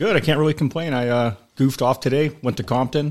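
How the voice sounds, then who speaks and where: The background is silent and the recording very clean. Here a man speaks at a fairly quick pace. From US West Coast (Sacramento, California). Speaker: retired highway patrol officer. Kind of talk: casual chat. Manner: halting, many repetitions.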